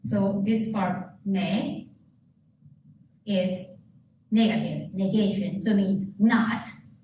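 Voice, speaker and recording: A woman talks at medium pitch in a monotone, flat intonation, very slowly and with long, frequent pauses. Room echo is audible, and background noise is noticeable. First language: Japanese. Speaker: pastor. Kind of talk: sermon.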